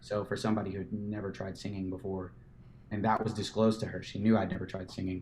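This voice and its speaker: Monotone, flat intonation carries over audible room echo. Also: man. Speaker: musician and photographer. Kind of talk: casual chat.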